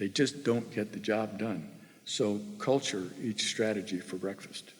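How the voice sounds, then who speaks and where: Music runs behind the speaker. He is a man talking at an even, medium speed. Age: 70s. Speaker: former tech executive, guest speaker. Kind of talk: keynote talk to students.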